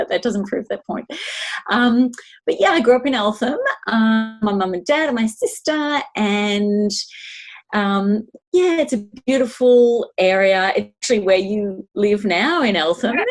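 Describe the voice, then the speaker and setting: A woman speaks in an Australian accent. Her intonation is lively. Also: fairly high pitch for a woman, fairly slow pace. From Melbourne, Australia. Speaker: podcast co-host. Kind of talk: casual chat.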